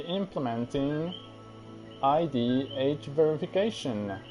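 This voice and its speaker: Over music in the background, a man with a Spanish accent speaks at a very slow pace in a medium pitch with ordinary pitch variation. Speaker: gaming streamer. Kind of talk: casual stream talk. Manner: halting.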